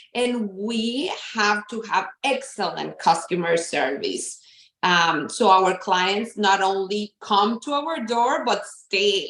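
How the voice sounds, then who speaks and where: Speaking very slowly with a Spanish accent, a woman uses a medium pitch and lively intonation. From Mexico. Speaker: therapist and counseling practice owner. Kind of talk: interview.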